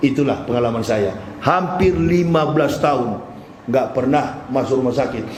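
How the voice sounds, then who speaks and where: Amid noticeable background noise and audible room echo, a man talks at a moderate pace with a fairly high pitch. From Manado, North Sulawesi. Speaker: Islamic preacher, former pastor. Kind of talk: sermon. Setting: mosque.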